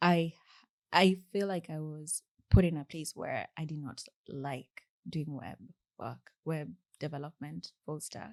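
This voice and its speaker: A woman with a Kenyan accent and a very deep, low pitch speaks at a fairly slow pace with fairly even intonation and long, frequent pauses, in a dry, close sound with no echo. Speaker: software engineer. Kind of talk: interview conversation. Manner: halting.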